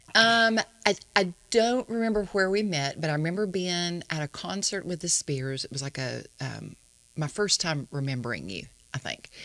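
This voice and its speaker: Speaking in an American accent, a woman uses an unremarkable speaking voice, fairly low in pitch, with lively intonation at a moderate pace. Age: 60s. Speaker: songwriter. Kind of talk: casual chat.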